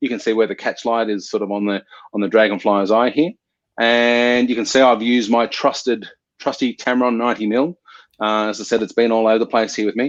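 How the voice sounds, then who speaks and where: A man speaks in a plain, everyday voice at a medium pitch and a fairly quick pace, with fairly even intonation and a dry, close sound with no echo. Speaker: photographer. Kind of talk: online workshop presentation.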